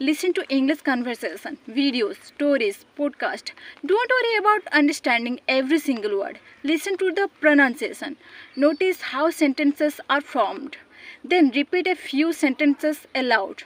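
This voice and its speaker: A woman with an Odisha accent speaks in a high pitch with lively intonation. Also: dry, close sound with no echo. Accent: Indian (Odia) English. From Odisha, India. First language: Odia. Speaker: English teacher, YouTuber. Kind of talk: English lesson talk to camera.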